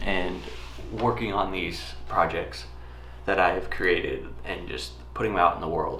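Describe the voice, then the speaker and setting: A man's bright, sharp tone with audible room echo. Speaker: travel videographer. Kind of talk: casual talk to camera. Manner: halting.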